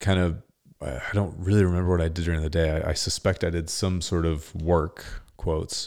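Speaking with an American accent at a moderate pace, a man uses a very deep, low pitch and monotone, flat intonation on a very clean recording with a silent background. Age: 30s. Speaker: podcast host. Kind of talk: solo podcast monologue.

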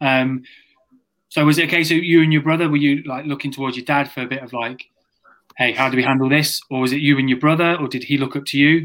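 With a British accent, a man talks at a very fast pace. His fairly high pitch stays flat and monotone. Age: 30s. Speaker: podcast co-host. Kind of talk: casual interview chat.

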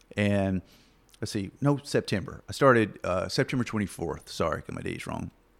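Someone speaks at a moderate pace in a Southern US accent, on a very clean recording with a silent background. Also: man. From US South, southeast Arkansas. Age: 30s. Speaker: podcast guest. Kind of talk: casual chat.

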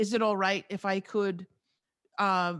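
A woman's medium-pitched voice with an American accent, dry and close with no echo, against a quiet background. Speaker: radio host and podcast coach. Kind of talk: casual interview. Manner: animated.

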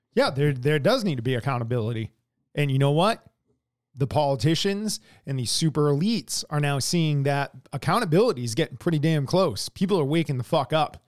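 Fairly quick with lively intonation, a plain, everyday voice with an American accent comes through with a dry, close sound with no echo and a very clean recording over a silent background. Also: man, fairly high pitch for a man. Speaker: podcast co-host. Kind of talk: casual profane political chat. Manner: blunt, heavily profane, teasing.

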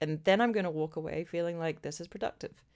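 A woman's normal speaking voice, fairly low in pitch, with ordinary pitch variation. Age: 40s. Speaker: podcast co-host. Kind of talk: casual chat.

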